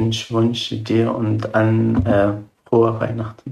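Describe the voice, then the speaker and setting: A man with an Arabic accent speaks in a calm tone. His medium-pitched voice stays flat and monotone. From Syria. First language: Arabic (speaking German). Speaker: refugee. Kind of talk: interview. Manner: halting.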